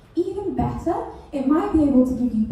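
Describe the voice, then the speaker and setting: A woman with a high, lively voice speaks over noticeable background noise, and the room echo is audible. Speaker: PhD researcher giving comedy science talk. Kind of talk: comedic science talk. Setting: stage with audience. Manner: animated.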